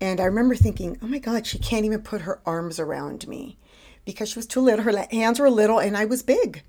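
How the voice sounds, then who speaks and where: Her dark, mellow voice at medium pitch carries vocal fry as the woman speaks at a very fast pace with lively intonation. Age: 40s. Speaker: weight-loss program member. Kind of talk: casual interview.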